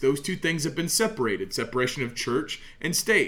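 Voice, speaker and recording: There is audible room echo as a man speaks with an American accent. His pitch swings very widely. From Oklahoma, US. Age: 30s. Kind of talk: solo podcast monologue, sermon-like.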